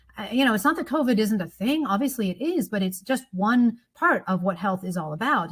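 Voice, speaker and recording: Somewhat breathy, a woman with an American accent speaks at a fairly quick pace. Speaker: economics professor. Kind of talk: podcast interview. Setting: studio.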